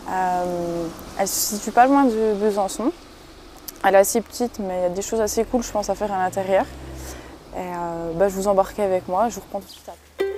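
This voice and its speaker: A woman of medium pitch talks at a fairly quick pace with fairly even intonation, big swings in loudness and long, frequent pauses, over noticeable background noise. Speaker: urbex vlogger. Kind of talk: exploration vlog narration. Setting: inside abandoned house near road. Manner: speaking quietly; hesitant, many fillers.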